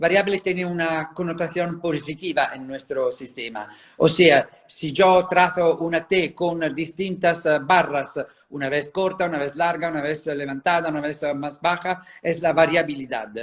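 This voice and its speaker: Speaking with an Italian accent, a man uses a high pitch and fairly even intonation. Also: fairly slow pace. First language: Italian (speaking Spanish). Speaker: handwriting psychology expert. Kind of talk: interview. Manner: halting, many fillers.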